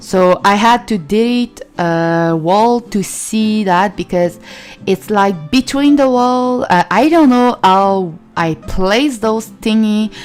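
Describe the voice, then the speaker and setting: A woman speaks very slowly in a fairly high voice with a Quebec accent. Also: lively intonation. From Quebec, Canada. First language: French. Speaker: gaming YouTuber. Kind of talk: let's play commentary. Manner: halting, many fillers.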